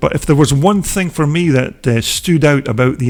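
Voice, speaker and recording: With a strong Scottish accent, a man talks at a moderate pace with ordinary pitch variation. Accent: Scottish, broad. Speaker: motocross video channel host. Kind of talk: voiceover narration. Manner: many filler words (uh); casual, conversational.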